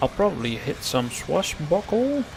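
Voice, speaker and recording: A man's voice over noticeable background noise. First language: not English. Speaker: game streamer. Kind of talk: gameplay livestream commentary. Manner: casual, thinking aloud.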